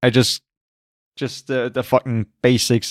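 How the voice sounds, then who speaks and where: The speaker has a non-native accent. The recording is very clean, silent in the background, and dry and close with no echo. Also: man. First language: not English. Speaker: movie podcast co-host. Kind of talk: casual chat.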